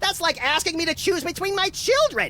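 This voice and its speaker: A put-on character voice, squeaky and extremely high in pitch, runs at a fairly quick pace. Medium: video game.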